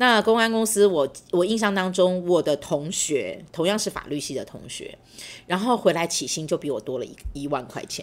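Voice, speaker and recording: Her medium-pitched voice has lively intonation and big swings in loudness as this woman keeps a moderate pace. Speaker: university professor. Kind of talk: interview, personal storytelling. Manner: hesitant, many fillers.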